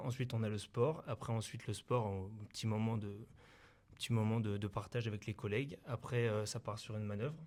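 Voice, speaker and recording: Mid-range male voice, intonation mostly level. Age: 20s. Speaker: volunteer firefighter. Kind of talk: interview. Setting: mobile TV studio in town hall. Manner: halting, many fillers.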